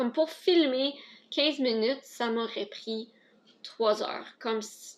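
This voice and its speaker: A woman with an Ontario French accent talks at a very slow pace, leaving long, frequent pauses. Her voice is high-pitched, with ordinary pitch variation and big swings in loudness. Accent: Franco-Ontarian French. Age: 20s. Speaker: vlogger, stay-at-home mother. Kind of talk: casual Q&A vlog. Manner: hesitant, self-correcting.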